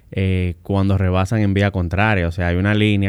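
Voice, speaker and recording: This man's very deep, low pitch holds fairly even intonation as he talks at a fairly quick pace. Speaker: civil engineer and road safety expert. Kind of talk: interview.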